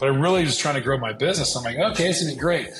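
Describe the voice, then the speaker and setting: A man talks at a very fast pace while faint music sounds in the background. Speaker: entrepreneur and pilot. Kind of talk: interview answer. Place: office. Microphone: earbuds.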